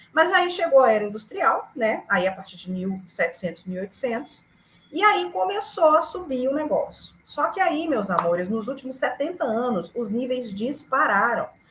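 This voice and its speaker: Noticeable background noise runs behind a woman whose high voice makes very wide pitch swings. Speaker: climate activist. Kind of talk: lecture. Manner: fast; animated.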